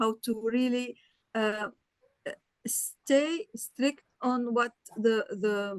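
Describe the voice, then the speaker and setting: In a non-native accent, a woman with a high pitch and fairly even intonation speaks at a very slow pace with long, frequent pauses, the sound dry and close with no echo. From Lebanon. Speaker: audience member. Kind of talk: question in webinar. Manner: halting.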